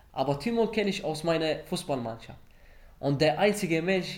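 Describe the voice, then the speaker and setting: With ordinary pitch variation, this man keeps a moderate pace. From Iraq, Baghdad. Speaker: refugee. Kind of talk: interview testimony. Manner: halting.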